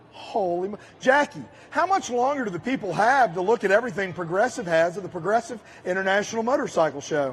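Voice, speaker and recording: A man talks very fast in a high voice with very wide pitch swings. Noticeable background noise runs underneath. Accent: American. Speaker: show host.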